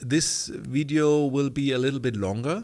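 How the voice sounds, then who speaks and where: A man with a German accent speaks at a medium pitch and a fairly slow pace. His pitch varies in an ordinary way, and the recording is very clean with a silent background. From Germany. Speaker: online community coach. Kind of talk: tutorial. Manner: halting.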